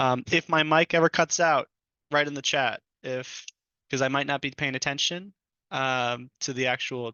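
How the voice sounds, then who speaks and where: A man's fairly high voice with ordinary pitch variation. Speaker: technology trainer. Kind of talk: online training class. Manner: fast.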